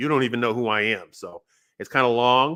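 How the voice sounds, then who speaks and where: A man with an American accent and medium pitch, at a very fast pace. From Northern California (San Jose). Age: 60s. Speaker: podcaster. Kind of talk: personal monologue. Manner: conversational, with fillers and restarts.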